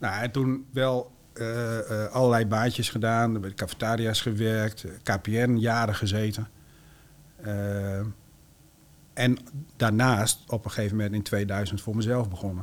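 On a very clean recording with a silent background, a man at medium pitch speaks very slowly in a flat monotone, with long, frequent pauses. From Groningen province, Netherlands. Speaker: entrepreneur. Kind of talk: interview.

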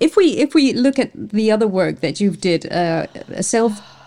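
With noticeable background noise behind her, a woman speaks at a moderate pace in a fairly high pitch with lively intonation. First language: Dutch. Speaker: podcast host. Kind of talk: interview.

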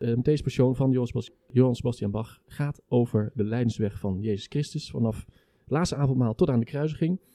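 A man talks at a fairly quick pace in a dark, mellow tone. The sound is dry and close, with no echo. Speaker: podcast host and orchestra musician. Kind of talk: casual chat. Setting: brasserie.

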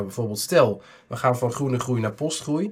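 A man talks at a fairly quick pace with a medium pitch. He has an unremarkable speaking voice. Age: 30s. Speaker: economist and author. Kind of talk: interview monologue.

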